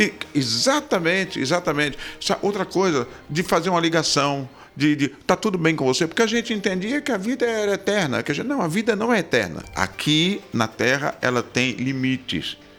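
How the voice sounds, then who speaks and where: The pace is moderate. The pitch moves in very wide swings. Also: man, high pitch for a man. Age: 60s. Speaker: pastor. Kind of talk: interview. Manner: halting repetitions.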